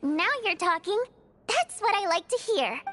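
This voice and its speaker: A woman uses a put-on character voice, squeaky and extremely high in pitch. She keeps a moderate pace with music in the background. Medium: video game. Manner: lively, expressive.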